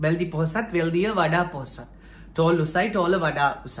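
A man talks in a high pitch at a moderate pace. His intonation stays fairly even. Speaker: English teacher. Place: home room. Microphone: phone near.

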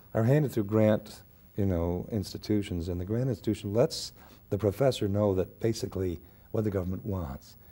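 A somewhat breathy, dark, mellow voice at a fairly quick pace, with ordinary pitch variation. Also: man. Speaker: interview guest, actor. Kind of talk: interview answer. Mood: earnest, building indignation. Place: studio.

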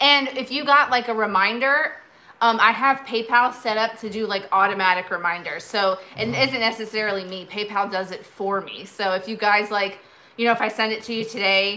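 A woman talks at a fairly quick pace. Her intonation stays fairly even. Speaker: vintage seller hosting a live sale. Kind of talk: casual live-stream chat. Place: home room. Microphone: phone near.

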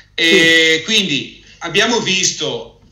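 A man with a high pitch and audible room echo. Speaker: financial advisor hosting a webinar; presenter. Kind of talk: webinar presentation and interview. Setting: online webinar video call. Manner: halting, frequent repetitions. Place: office. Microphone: earbuds.

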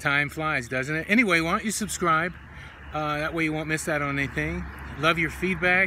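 A man speaks with fairly even intonation. The sound is dry with no echo, though background noise is noticeable. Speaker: health coach. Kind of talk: casual vlog chat. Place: street. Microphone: phone near.

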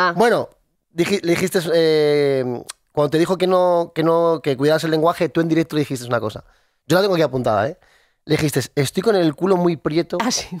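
A man's fairly high voice at a fairly quick pace, with ordinary pitch variation, dry with no echo against a quiet background. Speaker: radio co-host. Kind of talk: casual radio chat. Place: studio. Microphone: studio mic.

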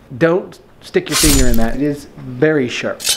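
Noticeable background noise sits under speech at a moderate pace with ordinary pitch variation. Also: man. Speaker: vlogger. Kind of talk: casual vlog chat.

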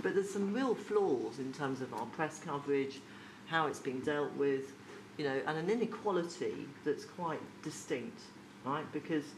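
A woman speaks at a moderate pace in a low voice. Her intonation is lively.

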